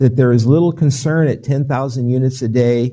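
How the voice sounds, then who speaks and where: A man talks at a medium pitch, somewhat breathy, with fairly even intonation. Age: 60s. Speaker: physician. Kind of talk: lecture. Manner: halting, with many fillers and restarts.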